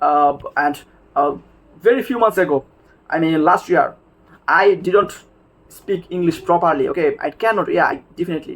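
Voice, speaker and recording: Someone with a Bengali accent speaks at a moderate pace, leaving long, frequent pauses. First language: Bangla. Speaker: English learning video maker. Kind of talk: informal tutorial. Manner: halting, many fillers.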